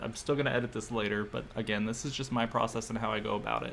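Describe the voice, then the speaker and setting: Over noticeable background noise, a man talks at a very fast pace. His pitch is medium, with ordinary variation. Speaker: doll photographer streaming photo editing. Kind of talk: live stream tutorial. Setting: live stream. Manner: casual, self-deprecating.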